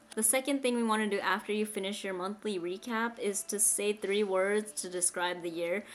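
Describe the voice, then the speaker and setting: Speaking at a moderate pace, a woman uses an ordinary speaking voice at medium pitch with ordinary pitch variation. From United States. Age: 20s. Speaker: vlogger. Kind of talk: casual chat. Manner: casual, filler-heavy.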